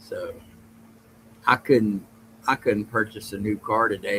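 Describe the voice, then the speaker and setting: At a moderate pace, a man with a Southern US accent speaks in a fairly low voice. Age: old. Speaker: podcast host. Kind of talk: casual livestream chat reading chat comments. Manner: rambling, halting.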